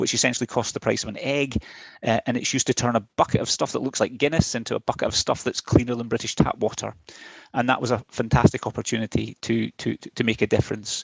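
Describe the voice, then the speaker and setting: Very fast speech from a man with a Scottish accent and vocal fry. His intonation stays fairly even, and the sound is dry and close with no echo. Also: medium pitch for a man. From west of Scotland, Ayr. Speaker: chief technology officer. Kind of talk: presentation.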